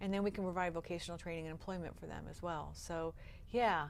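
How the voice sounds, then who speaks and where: Fairly quick speech from a woman with an American accent. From Upstate New York. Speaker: nonprofit founder. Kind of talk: interview. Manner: fast; energetic.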